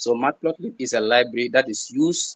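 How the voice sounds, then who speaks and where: Speaking at a fairly quick pace and medium pitch, a man with a Gambian accent is heard in a dry, close sound with no echo. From the Gambia. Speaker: peer tutor. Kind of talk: online tutorial. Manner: halting, with repetitions and fillers.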